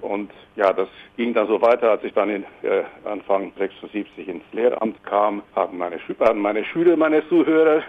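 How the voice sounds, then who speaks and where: Using an ordinary speaking voice, a man talks at medium pitch and a moderate pace with lively intonation. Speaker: singer-songwriter. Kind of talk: interview.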